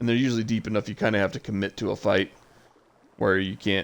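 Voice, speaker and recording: This man talks at a very fast pace, his pitch fairly low with ordinary variation. Vocal fry creeps into his voice. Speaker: gaming streamer. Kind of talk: live gameplay commentary. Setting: home livestream. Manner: casual, with many fillers.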